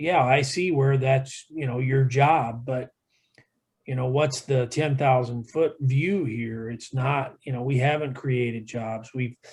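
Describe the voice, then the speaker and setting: With an American accent, a man speaks at a fairly slow pace and a medium pitch. His voice is somewhat breathy, his intonation fairly even. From Iowa, US Midwest. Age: 60s. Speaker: environmental expert panelist. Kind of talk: webinar panel discussion. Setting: video call webinar.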